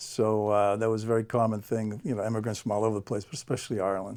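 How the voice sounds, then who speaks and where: On a very clean recording with a silent background, a man with an American accent talks at a very fast pace in a fairly low, monotone, flat voice. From Boston area, Massachusetts (South Shore). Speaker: guest, school district staff. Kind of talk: interview.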